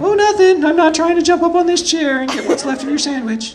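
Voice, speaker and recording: Over clear background noise, a put-on character voice rattles along at a fairly quick pace in a high pitch. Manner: playful, cheeky.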